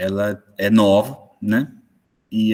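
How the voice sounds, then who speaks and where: His intonation stays monotone and flat. The man's pitch is fairly low. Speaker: moderator, sports management professor. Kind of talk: online panel moderation. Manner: slow, deliberate.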